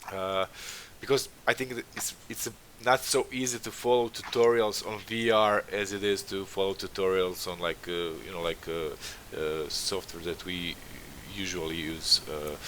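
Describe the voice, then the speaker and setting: A man's fairly low-pitched voice with a non-native accent, at a moderate pace. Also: ordinary pitch variation. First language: not English. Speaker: concept art stream host. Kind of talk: casual interview livestream. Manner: halting, many fillers.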